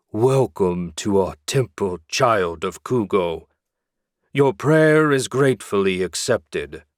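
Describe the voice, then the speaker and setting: In a very clean, silent recording, a man does a booming put-on character voice at medium pitch with lively intonation and a fairly slow pace. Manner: grand, welcoming.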